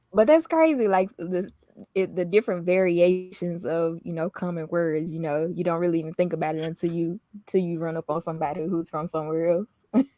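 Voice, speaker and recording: A woman with an American accent, fairly low in pitch, fairly quick in pace, with fairly even intonation and a dry, close sound with no echo. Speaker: lifestyle vlogger. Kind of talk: casual chat.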